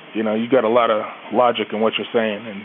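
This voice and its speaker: Very fast speech from a man over noticeable background noise. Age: 30s. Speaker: caller to a fan podcast. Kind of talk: casual phone-in chat.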